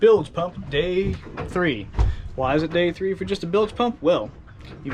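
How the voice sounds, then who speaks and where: There is a man here keeping to a moderate pace. Behind his voice, the background noise is noticeable. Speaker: sailboat owner vlogger. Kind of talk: casual vlog narration. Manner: casual, hesitant with many uhs.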